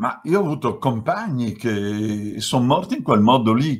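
Against a quiet background, the speaker goes at a very slow pace with very wide pitch swings. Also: man. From Bergamo, Lombardy, northern Italy. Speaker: author and left-wing activist. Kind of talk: book presentation talk. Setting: video call. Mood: earnest, at times emotional. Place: home room.

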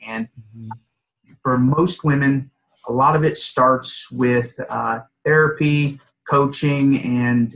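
With an American accent, a man talks in a fairly even intonation. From US South, Palm Beach County, Florida; Florida. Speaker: divorce attorney; divorce lawyer. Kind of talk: podcast interview. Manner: hesitant with filler words. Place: office. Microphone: video call.

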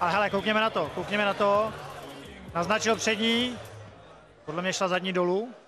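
At a high pitch and a moderate pace, a man speaks in a raised, projected voice with a bright, sharp tone, very even loudness, and long, frequent pauses. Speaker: fight commentator. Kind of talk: live commentary. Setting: arena event in a shopping centre. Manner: excitable.

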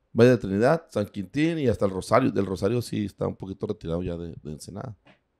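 The background stays quiet. A dark, mellow tone carries the voice. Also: man. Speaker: businessman. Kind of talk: casual chat. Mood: relaxed, conversational. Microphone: handheld.

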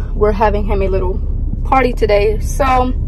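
Music plays in the background as the speaker goes at a fairly quick pace, the sound dry with no echo. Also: woman. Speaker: vlogger. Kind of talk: casual vlog chat. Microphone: phone near.

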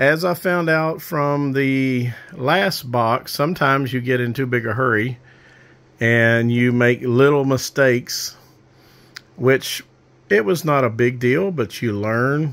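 With ordinary pitch variation, a man delivers his words at a very slow pace. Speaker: amateur radio hobbyist. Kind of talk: casual project overview. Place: home room. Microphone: phone near.

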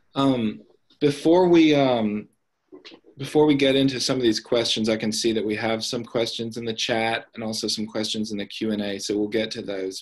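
A man with an American accent talks at a moderate pace, at a medium pitch with ordinary pitch variation. It is a normal speaking voice. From US South, Tennessee (Nashville area). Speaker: writing program director and novelist. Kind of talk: author interview. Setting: video call.

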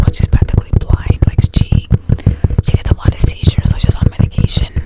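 Whispering at a fairly quick pace, a woman keeps her loudness very even. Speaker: ASMR creator. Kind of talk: casual talk to camera. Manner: conversational, sympathetic. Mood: sympathetic. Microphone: studio mic.

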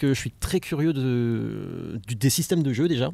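A man speaks at a medium pitch with lively intonation. His voice carries vocal fry and a slightly mellow tone.

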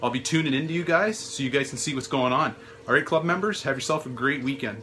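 The man speaks at a very fast pace with ordinary pitch variation. Light background noise can be heard. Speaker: hobby vlogger. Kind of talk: casual vlog chat. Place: home room.

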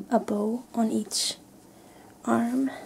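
A soft-spoken woman talks at a fairly high pitch. Light background noise can be heard. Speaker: haul vlogger. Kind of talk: ASMR soft-spoken clothing haul. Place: home room.

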